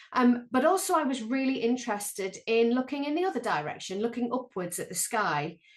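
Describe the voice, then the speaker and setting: A woman's fairly high voice with lively intonation at a fairly quick pace. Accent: Sunderland. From northeast England, Sunderland. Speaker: planetary scientist and lecturer. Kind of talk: online panel talk. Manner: hesitant, many ums.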